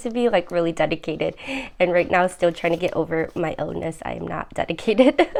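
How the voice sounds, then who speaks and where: A woman's dark, mellow tone at a very fast pace, with lively intonation. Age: 30s. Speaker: budgeting vlogger. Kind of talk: casual tutorial vlog. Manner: soft-spoken; hesitant with frequent fillers.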